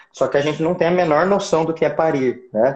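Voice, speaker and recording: With ordinary movement in his pitch, the man talks in a somewhat breathy voice. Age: 40s. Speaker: obstetrician. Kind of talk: casual chat. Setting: Instagram live video.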